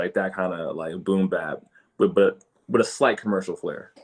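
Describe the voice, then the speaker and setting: This is a man speaking. He has an American accent. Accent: New York accent shifted toward Philly. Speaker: independent hip hop artist. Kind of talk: casual interview chat. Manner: halting, many fillers and restarts.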